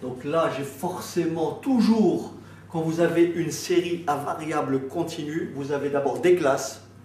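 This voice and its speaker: Amid audible room echo, a man with a fairly high pitch and ordinary pitch variation speaks at a very slow pace. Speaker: math teacher. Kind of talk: lecture. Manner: halting.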